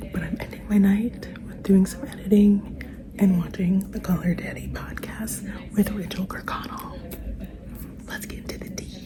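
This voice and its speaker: A whisper at a moderate speed, with noticeable background noise behind it. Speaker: vlogger. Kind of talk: casual vlog talk to camera. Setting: at home at night.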